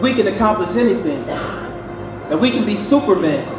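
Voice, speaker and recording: A man's voice over clear music in the background. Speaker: motivational speaker. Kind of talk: speech. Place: hall.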